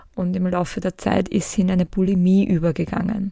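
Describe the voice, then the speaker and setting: A woman speaks at a fairly quick pace in a medium-pitched, somewhat breathy voice with a dark, mellow tone and fairly even intonation. The sound is dry and close, with no echo. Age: 40s. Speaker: podcast host, psychotherapist in training. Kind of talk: solo podcast monologue.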